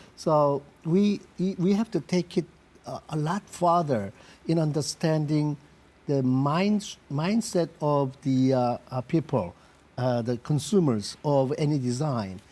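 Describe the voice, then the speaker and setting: A man's fairly high voice with a dark, mellow tone, a Korean accent, lively intonation and a very slow pace. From South Korea. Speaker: industrial designer, company CEO. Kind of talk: interview. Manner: halting with many fillers.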